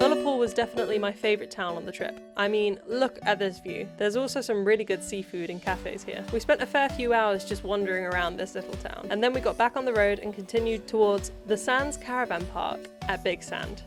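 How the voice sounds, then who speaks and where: A woman talks at a fairly quick pace in a southern English accent, with hardly any pauses. Music plays in the background. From Cambridge, UK. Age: 20s. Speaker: travel vlogger. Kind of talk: travel vlog narration.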